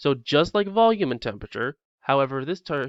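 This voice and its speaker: Lively intonation marks this man's fairly high-pitched voice as he talks at a fairly quick pace. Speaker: chemistry teacher. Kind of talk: recorded lesson lecture. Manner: fast.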